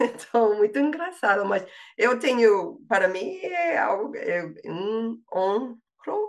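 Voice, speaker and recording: Speaking at a very slow pace with a slight non-native accent, a woman with a fairly high pitch makes very wide pitch swings. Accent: slight foreign accent in Portuguese. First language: English (speaking Portuguese). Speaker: language learner, linguistics graduate. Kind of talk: interview. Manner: halting, many fillers and repetitions.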